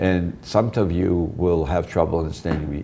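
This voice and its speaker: A man with a Brooklyn accent speaks at a very deep, low pitch. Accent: New York (Brooklyn). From US Northeast (Brooklyn, New York). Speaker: professor and author. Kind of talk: interview. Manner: fast.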